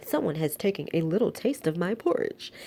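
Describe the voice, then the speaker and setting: This put-on character voice growls at a fairly quick pace, with very wide pitch swings. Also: woman, medium pitch for a woman. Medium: read story. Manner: growling.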